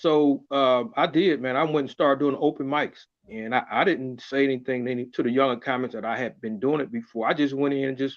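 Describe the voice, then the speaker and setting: A man speaks in an unremarkable speaking voice, pitched fairly high with ordinary pitch variation. He goes at a fairly quick pace with hardly any pauses. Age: 60s. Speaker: comedian. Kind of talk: casual chat.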